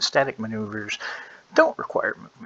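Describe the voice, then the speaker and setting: Noticeable background noise can be heard as a man speaks. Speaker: game master, tabletop RPG tutorial maker. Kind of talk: tutorial. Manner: halting, many filler words.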